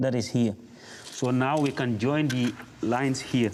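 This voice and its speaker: With a West African accent, a man speaks fairly slowly at medium pitch with fairly even intonation. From Gambia. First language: Mandinka. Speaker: apprentice mason. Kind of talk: tutorial. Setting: training workshop.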